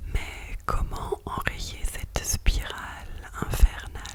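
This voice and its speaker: Someone whispers over noticeable background noise. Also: woman. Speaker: ASMR creator. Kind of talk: whispered bedtime story reading. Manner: whispered, soft.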